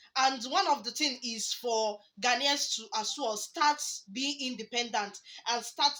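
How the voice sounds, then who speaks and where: Projecting her raised voice, a woman with a Nigerian accent speaks at a fairly slow pace in a high pitch with ordinary variation. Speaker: reaction YouTuber. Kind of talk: casual commentary to camera.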